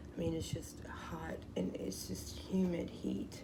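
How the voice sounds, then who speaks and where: Noticeable background noise and audible room echo around a woman speaking. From US South, Louisiana. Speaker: tarot card reader. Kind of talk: casual card reading vlog. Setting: outdoors. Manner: halting, self-correcting.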